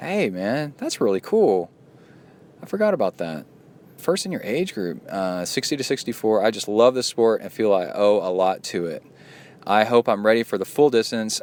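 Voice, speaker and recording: With an unremarkable speaking voice, a man at medium pitch talks at a moderate pace and with lively intonation. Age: 40s. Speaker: triathlon podcast host and coach. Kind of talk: podcast monologue reading listener mail. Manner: casual, conversational.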